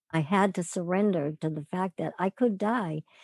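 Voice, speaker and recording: In a normal speaking voice, a woman talks at a moderate pace and medium pitch with ordinary pitch variation, the sound dry and close with no echo and the background quiet. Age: 60s. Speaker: author and cancer wellness coach. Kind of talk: casual interview.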